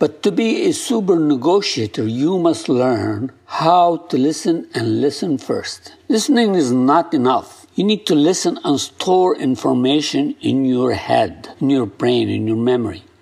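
A man with a non-native accent at a fairly slow pace, with hardly any pauses. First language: not English. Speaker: podcast host and negotiation coach. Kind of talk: solo instructional talk. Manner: halting, self-correcting.

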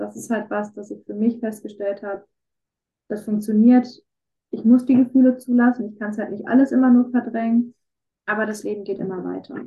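A woman with a fairly high, somewhat breathy voice talks at a fairly quick pace but leaves long, frequent pauses. Her intonation is monotone and flat, while her loudness swings widely. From Ruhr area, Germany. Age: 20s. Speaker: student with chronic illnesses. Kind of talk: interview about personal illness.

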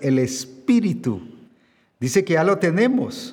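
A man at a very slow pace, very wide pitch swings, and audible room echo. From Guatemala. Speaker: pastor. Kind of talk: sermon.

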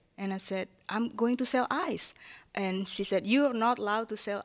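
A woman speaks with an Indonesian accent at a moderate pace and medium pitch, with ordinary pitch variation. The recording is very clean, with a silent background. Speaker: city hall liaison to immigrant community. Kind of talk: panel discussion. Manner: halting.

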